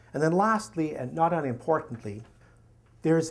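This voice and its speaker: A man's fairly high voice with a Canadian accent, lively intonation, and audible room echo. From Canada. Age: 60s. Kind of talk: lecture.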